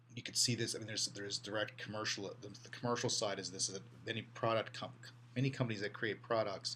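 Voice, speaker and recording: Over noticeable background noise, a man at medium pitch rattles along at a very fast pace in a monotone, flat delivery. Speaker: college instructor. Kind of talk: lecture. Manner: halting, many repeated words.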